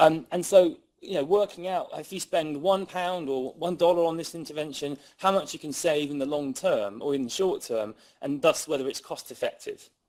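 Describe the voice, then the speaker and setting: With an English accent, a man talks at a high pitch with ordinary pitch variation. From England. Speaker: criminologist and researcher. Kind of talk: lecture. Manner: fast; animated.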